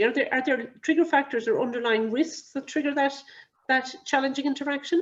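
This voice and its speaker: A woman speaks in a Cork accent. Her voice is high. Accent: Cork Irish. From Ireland, Cork. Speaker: clinical risk advisor. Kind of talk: webinar lecture. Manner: fast.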